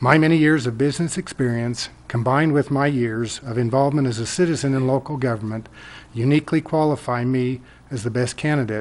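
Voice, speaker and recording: This man has an ordinary speaking voice at a medium pitch with ordinary pitch variation. He talks at a fairly quick pace. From US, Colorado (Loveland). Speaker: city council candidate. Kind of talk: candidate forum speech. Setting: public forum.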